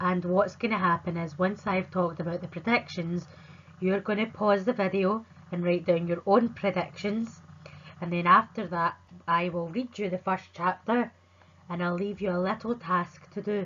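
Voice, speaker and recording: A woman speaks with a Scottish accent. Her intonation stays fairly even. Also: medium pitch for a woman, moderate pace. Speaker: primary school teacher. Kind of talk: remote lesson for children. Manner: clear, friendly teacher talk.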